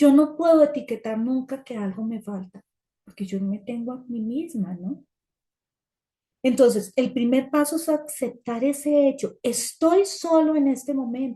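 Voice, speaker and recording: Lively in intonation, a woman speaks in a high pitch with a dark, mellow tone. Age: 60s. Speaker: support group speaker. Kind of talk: talk sharing personal experience.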